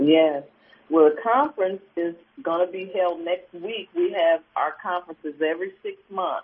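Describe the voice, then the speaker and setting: A woman with an American accent speaks at a moderate pace with ordinary pitch variation. She has a fairly low pitch and an ordinary speaking voice. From Cleveland, Ohio, US Midwest. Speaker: pastor. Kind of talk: radio interview. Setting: phone call.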